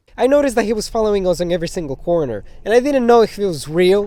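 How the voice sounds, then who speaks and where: The speaker has a Spanish accent and an animated tone. Noticeable background noise is present. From Spanish-speaking country. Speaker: YouTuber. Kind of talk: story time.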